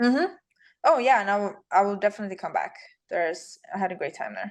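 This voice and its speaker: Speaking at a very fast pace, a woman with a Swedish accent uses lively intonation at a medium pitch. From Sweden. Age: 30s. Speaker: bikini fitness champion. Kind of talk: casual interview.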